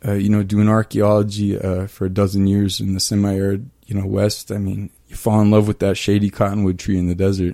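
A man's fairly low, dark and mellow voice in a Midwestern American accent, at a fairly quick pace with monotone, flat intonation. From eastern Kansas. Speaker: archaeologist. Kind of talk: interview. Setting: radio studio.

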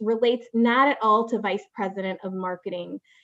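A woman with a Chicago accent speaks at a fairly high pitch with ordinary pitch variation. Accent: Chicago-area American. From Chicago suburbs, Illinois (Waukegan). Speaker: corporate marketing executive. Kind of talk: interview. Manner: filler-heavy, with frequent ums and repeated words.

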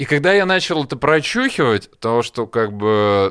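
Over a very clean recording with a silent background, a man with an unremarkable speaking voice talks at a fairly slow pace with lively intonation. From Russia, Smolensk. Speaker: session drummer. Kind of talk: casual chat. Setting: studio.

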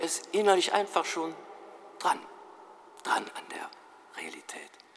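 Noticeable background noise sits behind a man speaking at a high pitch. He talks at a fairly slow pace. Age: 60s. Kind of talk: sermon.

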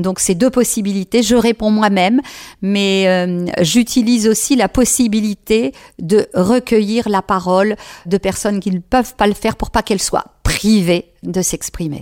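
A woman speaks at a fairly slow pace in an ordinary speaking voice, at a medium pitch with ordinary pitch variation. The sound is dry and close, with no echo. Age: 60s. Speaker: head of a family association. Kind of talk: radio interview. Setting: studio.

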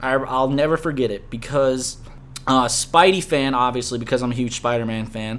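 A man with an American accent and a normal speaking voice talks at a moderate pace and medium pitch, with ordinary pitch variation. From US South, Louisiana. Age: 20s. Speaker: podcast host. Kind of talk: casual chat.

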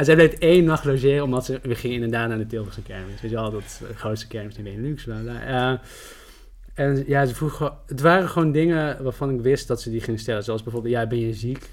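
At a fairly quick pace, this man has a normal speaking voice and ordinary pitch variation. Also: medium pitch for a man. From Netherlands. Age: 30s. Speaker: journalist and writer. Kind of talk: podcast interview.

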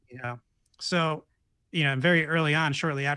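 A man's voice moves along at a fairly quick pace, with a quiet background behind it. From New York State. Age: 30s. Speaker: podcaster and meditation leader. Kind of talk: casual chat.

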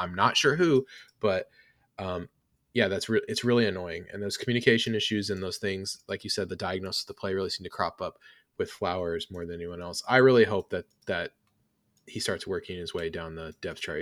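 In a very clean recording with a silent background and a dry, close sound with no echo, a man speaks at a fairly quick pace with a fairly low pitch and ordinary pitch variation. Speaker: sports podcast host. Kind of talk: casual chat. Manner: animated, talks with hands.

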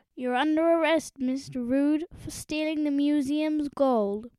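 Someone speaks at a fairly slow pace in a high, put-on character voice.

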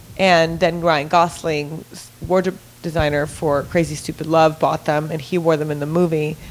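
Against noticeable background noise, a woman with a very deep, low pitch talks at a moderate pace. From Italy, raised in Los Angeles from about age 11. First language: Italian. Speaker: celebrity stylist. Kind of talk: casual chat. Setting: studio. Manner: animated.

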